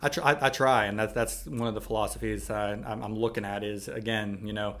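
The speaker has an American accent and vocal fry. Intonation stays fairly even. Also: man. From Pittsburgh, Pennsylvania. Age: 30s. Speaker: physical therapist. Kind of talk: casual interview. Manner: halting, many fillers.

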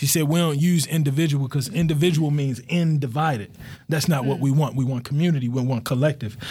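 A man with an American accent talks at a very fast pace, his somewhat breathy, dark, mellow voice set at a fairly high pitch, with fairly even intonation and very even loudness. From Baltimore, Maryland (Cherry Hill, South Baltimore). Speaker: podcast director and community organizer. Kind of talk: casual chat.

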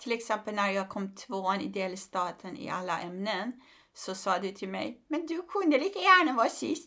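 Her tone bright and sharp, a woman talks at a moderate pace with very wide pitch swings. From Iran. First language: Persian (speaking Swedish). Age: 50s. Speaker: comedian and human rights activist. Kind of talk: casual interview.

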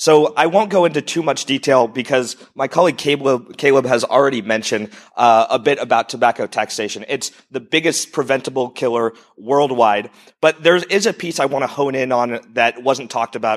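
With an American accent, a man speaks at a fairly quick pace. His medium pitch has ordinary pitch variation. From United States. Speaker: entrepreneur pitching charity. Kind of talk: short pitch talk.

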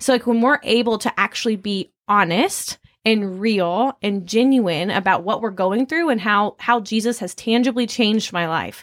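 A normal speaking voice with lively intonation at a moderate pace. The sound is dry and close with no echo, on a very clean recording with a silent background. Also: woman. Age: 20s. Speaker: student ministry worker. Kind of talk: casual panel discussion.

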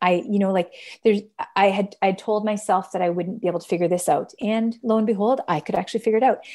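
Talking at a very fast pace, a woman with a Canadian accent has a medium pitch and a dark, mellow tone. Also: ordinary pitch variation. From Canada. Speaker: social entrepreneur and fashion brand founder. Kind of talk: interview conversation. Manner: hesitant, many fillers.

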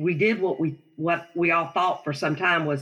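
In a Southern US accent, a woman speaks at a moderate pace with fairly even intonation. Her pitch is fairly low and her tone bright and sharp. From South Carolina. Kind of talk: interview testimony.

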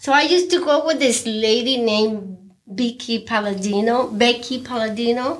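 A woman speaks with a Mexican accent. Her pitch is high. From Mexico. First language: Spanish. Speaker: restaurant owner and cook. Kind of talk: casual interview. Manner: non-native, simple grammar.

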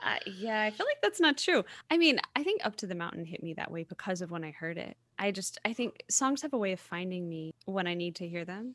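Speaking fairly quickly at a medium pitch, a woman with an American accent uses lively intonation in an unremarkable speaking voice. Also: dry, close sound with no echo. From US South. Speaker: podcast host, singer-songwriter. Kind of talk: casual interview chat.

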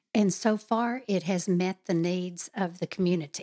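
A woman speaks at a medium pitch and a moderate pace, with a dark, mellow tone and fairly even intonation. The recording is very clean, with a silent background and a dry, close sound with no echo. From Texas. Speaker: political candidate. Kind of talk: interview.

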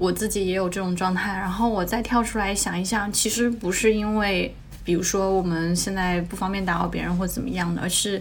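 Over noticeable background noise and audible room echo, a woman at medium pitch talks at a fairly quick pace with hardly any pauses and fairly even intonation. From China, smaller non-tier-1 city. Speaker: LGBTQ interviewee, friend of host. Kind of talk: casual chat.

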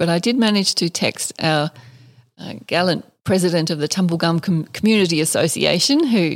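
A woman talks with an Australian accent at a moderate pace. Her sound is dry and close, with no echo. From Western Australia and Northern Territory. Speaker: distillery co-founder and author. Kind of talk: interview. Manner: measured.

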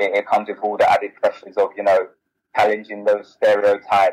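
A man is speaking. He has a South London accent. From South London (Bermondsey). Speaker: author and business founder. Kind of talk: interview.

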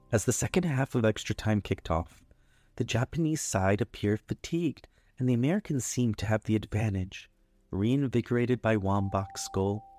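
A man speaks at a fairly quick pace and medium pitch in a soothing, calm, dark and mellow tone, with ordinary pitch variation and very even loudness, the sound dry and close with no echo. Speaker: bedtime story narrator. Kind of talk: scripted bedtime story narration. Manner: soothing, calm, gentle; dramatic, storytelling build-up.

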